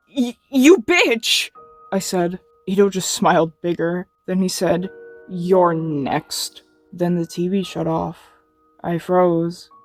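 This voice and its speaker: Music plays in the background as a woman speaks at a very slow pace. Her pitch is fairly low, and the sound is dry and close with no echo. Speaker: creepypasta narrator. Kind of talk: horror story reading. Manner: flat.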